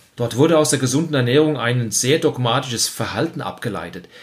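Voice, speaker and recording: On a very clean recording with a silent background, a man speaks at a fairly quick pace with a somewhat breathy voice and ordinary pitch variation. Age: 50s. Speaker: health coach and podcast host. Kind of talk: scripted monologue.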